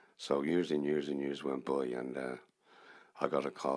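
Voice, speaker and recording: This man has a Dublin accent and a very deep, low pitch. He speaks in a flat monotone with vocal fry. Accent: Dublin Irish. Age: 70s. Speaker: musician. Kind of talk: stage storytelling between songs. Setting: stage with audience.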